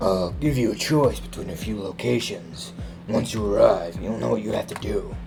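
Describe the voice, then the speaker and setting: Clear music plays in the background as a man performs a put-on character voice. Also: moderate pace. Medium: solo performance. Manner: cryptic, terse.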